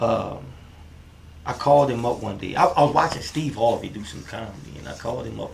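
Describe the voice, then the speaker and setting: With a New Orleans accent, a man talks at a fairly quick pace, his pitch swinging very widely over noticeable background noise. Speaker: comedian and filmmaker. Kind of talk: casual interview chat. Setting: in-person studio.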